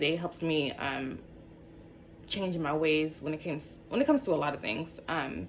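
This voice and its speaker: Speaking at a moderate pace, a woman with a fairly low pitch shows vocal fry and ordinary pitch variation. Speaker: YouTuber sharing personal story. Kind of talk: casual vlog talk to camera. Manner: animated.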